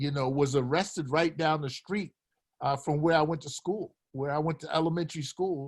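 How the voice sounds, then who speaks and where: Fairly even intonation marks this somewhat breathy voice. The speaker has an American accent. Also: man. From Philadelphia, US. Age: 80s+. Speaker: retired basketball coach. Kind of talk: casual chat.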